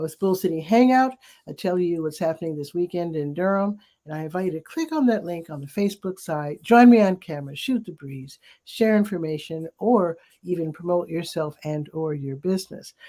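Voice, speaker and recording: Going at a fairly quick pace, a woman with a fairly low pitch and a dark, mellow tone shows ordinary pitch variation and big swings in loudness. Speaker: community newspaper publisher hosting a weekly live show. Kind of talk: casual live-stream chat. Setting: live video stream on camera. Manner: talking a little softer.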